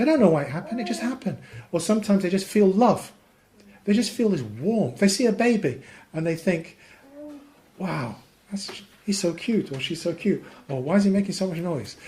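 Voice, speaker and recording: A man talks at a fairly quick pace with a high pitch and lively intonation. Long, frequent pauses break up his speech, and audible room echo surrounds it. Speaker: Islamic teacher. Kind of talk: lecture. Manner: fast.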